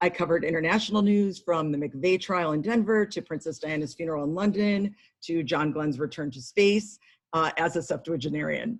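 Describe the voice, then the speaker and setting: A woman with a fairly low pitch talks at a fairly quick pace, showing ordinary pitch variation. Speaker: village council member and committee co-chair. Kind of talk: formal meeting introduction. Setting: video call. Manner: fast.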